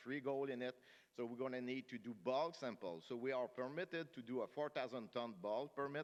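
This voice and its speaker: A man with a strong French-Canadian accent, at a fairly quick pace. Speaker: mining company executive. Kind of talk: investor conference presentation. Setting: conference stage with audience. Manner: fast.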